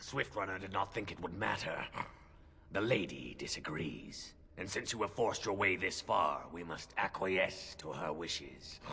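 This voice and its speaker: A man uses a put-on character voice with a very deep, low pitch. He speaks at a moderate pace against clear background noise. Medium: game stream. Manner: formal, grave.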